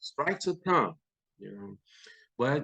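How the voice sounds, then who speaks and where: In a normal speaking voice, a man talks at a moderate pace with ordinary pitch variation, and the sound is dry and close with no echo. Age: 60s. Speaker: retired sheriff's deputy and army veteran. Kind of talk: casual chat. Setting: at home.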